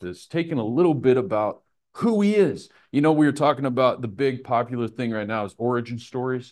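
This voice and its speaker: Over a quiet background, a man with an American accent and an unremarkable speaking voice talks at a moderate pace with lively intonation. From Nebraska, US Midwest. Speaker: Bible teacher. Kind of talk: Bible study lesson with prayer. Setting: live in a room with a group. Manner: casual, informal teaching.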